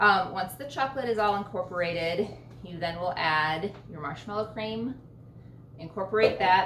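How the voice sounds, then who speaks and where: Fairly low-pitched woman at a fairly quick pace, with audible room echo and noticeable background noise. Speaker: home baking channel host. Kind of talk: cooking tutorial. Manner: casual, filler-heavy.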